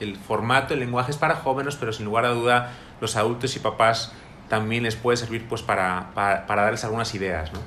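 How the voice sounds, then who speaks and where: Amid noticeable background noise and audible room echo, a man speaks at medium pitch. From Spain, Madrid. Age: 30s. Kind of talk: interview. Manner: halting, with repetitions.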